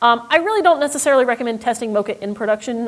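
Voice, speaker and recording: A woman talking at a very fast pace. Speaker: software company representative giving a demo. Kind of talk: software demo talk. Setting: stage with audience.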